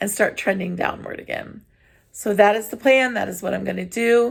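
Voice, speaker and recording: The voice carries vocal fry and a fairly even intonation. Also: woman. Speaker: vlogger. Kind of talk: casual monologue vlog. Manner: rambling.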